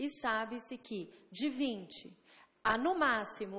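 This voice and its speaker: A woman is speaking. Her intonation is lively. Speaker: physician giving a lecture on statistics. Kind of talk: lecture. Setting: legislative chamber seminar. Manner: explanatory, conversational.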